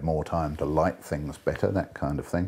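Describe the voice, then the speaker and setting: A man speaks in a New Zealand accent with a very deep, low pitch and vocal fry. His tone is dark and mellow, and his intonation is fairly even. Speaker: actor and director. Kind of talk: interview answer.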